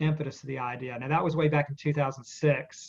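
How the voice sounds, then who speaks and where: Here a man talks at a fairly quick pace in a somewhat breathy voice. His pitch is fairly high, with ordinary pitch variation. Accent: Southern US. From US South, Spartanburg, South Carolina. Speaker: author. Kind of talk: interview. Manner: casual, hesitant with fillers.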